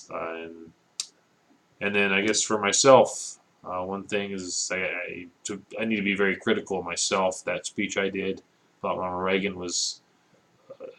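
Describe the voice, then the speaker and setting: Pausing long and often, a man speaks at a moderate pace and a fairly low pitch. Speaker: student giving peer reviews. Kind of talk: recorded peer review. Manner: low enthusiasm, somewhat monotone; hesitant, many fillers.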